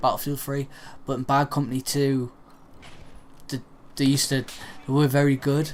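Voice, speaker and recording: This is a man speaking at a medium pitch. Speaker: gamer. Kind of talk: gameplay commentary. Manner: speaking carefully and clearly.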